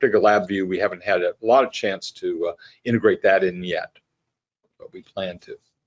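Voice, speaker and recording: A man talks at a fairly quick pace with big swings in loudness. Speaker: systems engineer presenting. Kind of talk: technical webinar presentation. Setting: online webinar. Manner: fast, rushing; halting, many fillers and repeats.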